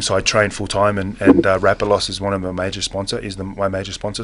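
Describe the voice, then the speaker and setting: The man has an Australian accent and a fairly low pitch. He talks at a fairly quick pace against noticeable background noise. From Western Australia, Perth. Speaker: mixed martial arts fighter. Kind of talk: studio interview. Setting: studio. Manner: halting, many fillers; laid back, casual.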